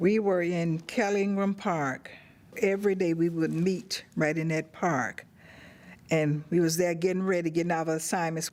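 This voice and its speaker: A woman with an Alabama accent speaks at a moderate pace in a fairly low voice with fairly even intonation. Her loudness stays very even on a very clean recording with a silent background. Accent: Southern US (Alabama). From Birmingham, Alabama. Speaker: civil rights activist. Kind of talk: oral history interview.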